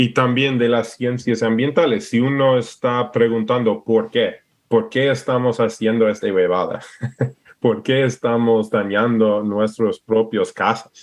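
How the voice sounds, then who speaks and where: A man with an English accent speaks at a fairly slow pace with monotone, flat intonation. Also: medium pitch for a man, very even loudness. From Alaska, US. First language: English (speaking Spanish). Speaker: permaculturist and entrepreneur. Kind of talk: interview. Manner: halting, searching for words.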